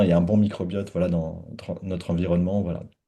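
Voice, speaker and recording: This man's voice sits at a very deep, low pitch with a dark, mellow tone. His intonation is monotone and flat. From France. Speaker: gastroenterologist. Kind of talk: webinar conversation. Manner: halting, many fillers.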